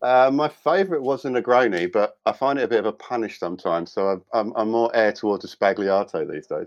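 A man with a British accent talks fairly quickly with hardly any pauses, his medium pitch carrying lively intonation over a quiet background. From UK. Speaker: designer and cocktail author. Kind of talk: casual interview.

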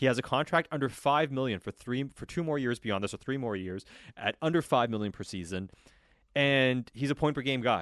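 With an unremarkable speaking voice at medium pitch, a man talks at a fairly quick pace with lively intonation, the sound dry and close with no echo against a quiet background. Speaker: sports radio host. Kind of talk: postgame sports talk radio. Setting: studio.

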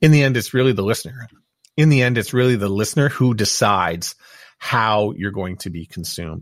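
A plain, everyday voice from a man with a Canadian accent, medium pitch, ordinary pitch variation and moderate pace, on a very clean recording with a silent background. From Montreal, Quebec. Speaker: podcaster and former radio broadcaster. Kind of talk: interview conversation. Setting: home studio.

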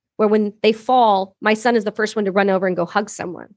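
Against a quiet background, with dry, close sound and no echo, a woman with a Canadian accent speaks at a fairly quick pace in a fairly high voice. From Canada. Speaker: army veteran and business founder. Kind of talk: casual interview chat. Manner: animated.

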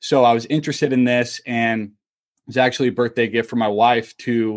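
A man with an American accent speaks in an ordinary speaking voice at a medium pitch. He keeps a moderate pace against a quiet background. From Utah, US. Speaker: entrepreneur and journaling coach, former college baseball player. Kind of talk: podcast interview.

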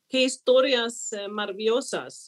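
A woman with a Swedish accent, fairly high in pitch, at a very slow pace. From Sweden. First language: Swedish (speaking Spanish). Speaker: diplomat. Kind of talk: panel conversation.

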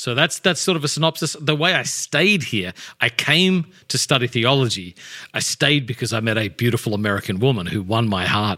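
An Australian-accented man talks fairly quickly with a bright, sharp tone at medium pitch, his pitch swinging very widely. The sound is dry and close with no echo, in a very clean recording with a silent background. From Australia, Adelaide. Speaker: pastor and author. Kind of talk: casual interview chat.

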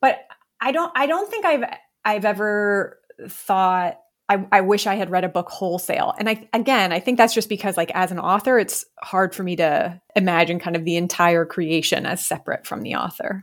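In a very clean recording with a silent background, a woman with an ordinary speaking voice talks at a moderate pace and a medium pitch. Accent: American. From Ohio, US Midwest. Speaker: romance author. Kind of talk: interview.

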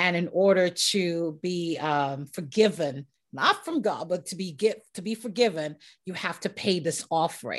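At a moderate pace, a woman talks in an ordinary speaking voice that sits fairly low in pitch. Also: ordinary pitch variation. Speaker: podcast host. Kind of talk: casual interview chat.

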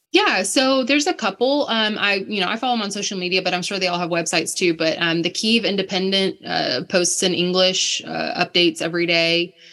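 Over noticeable background noise, a woman with an American accent speaks at a medium pitch and fairly quick pace, with ordinary pitch variation and hardly any pauses. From United States. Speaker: missionary. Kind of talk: interview conversation.

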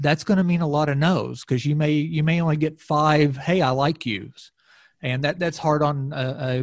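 Speaking with an American accent, a man has a fairly high pitch and a somewhat breathy sound. He keeps a moderate pace with ordinary pitch variation. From southwest Missouri, Ozarks. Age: 50s. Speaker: recruiting company CEO, sports parent. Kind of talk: casual chat. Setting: hotel room, remote recording.

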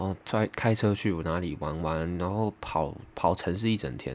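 A man with ordinary pitch variation. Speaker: podcaster. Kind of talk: casual monologue.

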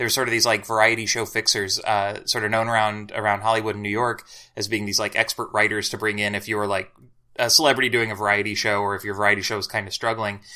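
In a very clean recording with a silent background, a man with a fairly low voice and an American accent talks very fast in a bright, sharp tone with monotone, flat intonation. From Southern Illinois, near St. Louis. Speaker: writer and journalist. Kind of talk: casual chat.

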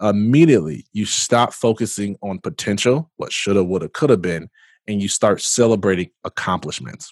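A man with an American accent, a fairly low pitch and an animated tone at a moderate pace, dry and close with no echo, over a quiet background. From US Midwest, Michigan (Jackson). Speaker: entrepreneur and motivational speaker. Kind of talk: interview conversation.

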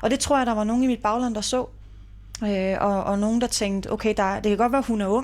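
In an ordinary speaking voice, the speaker moves at a fairly quick pace with fairly even intonation and very even loudness. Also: woman, fairly high pitch for a woman. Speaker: mayor. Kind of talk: interview. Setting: city hall office.

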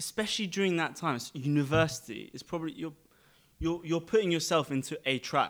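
A man with a London accent on a very clean recording with a silent background. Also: fairly high pitch for a man, ordinary pitch variation, fairly quick pace. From London, England. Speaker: podcast guest. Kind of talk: casual chat.

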